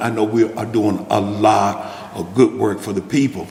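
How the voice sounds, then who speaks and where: Noticeable background noise sits behind a man speaking with a Mississippi accent. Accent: US Southern, Mississippi. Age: 70s. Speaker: food pantry kitchen manager, former restaurant manager. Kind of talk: storytelling talk to an audience. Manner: halting, many fillers and repeats.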